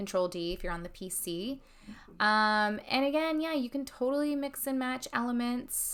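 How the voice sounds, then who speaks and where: The speaker is a woman. She keeps to a moderate pace. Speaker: fashion instructor. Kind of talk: tutorial. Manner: casual, filler-heavy.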